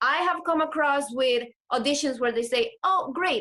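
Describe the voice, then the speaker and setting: Here a woman speaks with a Spanish accent. Her tone is bright and sharp, with lively intonation. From Latin America. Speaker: actor. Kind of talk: interview.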